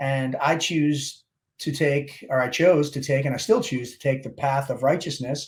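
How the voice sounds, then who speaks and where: The voice is somewhat breathy, with an American accent and a moderate pace. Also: man. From Baltimore, Maryland (Dundalk). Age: 50s. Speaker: Navy SEAL veteran and motivational speaker. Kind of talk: interview.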